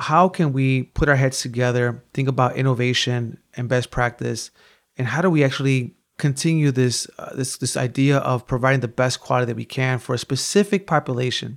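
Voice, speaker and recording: In a very clean recording with a silent background, a man with a Chicago accent speaks at a fairly quick pace. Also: medium pitch for a man, ordinary pitch variation. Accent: Chicago American English. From US Midwest, west side of Chicago. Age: 40s. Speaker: violence prevention program director. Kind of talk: interview conversation.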